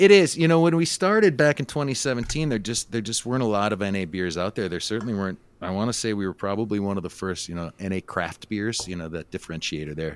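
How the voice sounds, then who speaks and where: Speaking at a very fast pace with hardly any pauses, a man with a fairly low pitch uses lively intonation on a very clean recording with a silent background. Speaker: brewery co-founder. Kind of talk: casual interview.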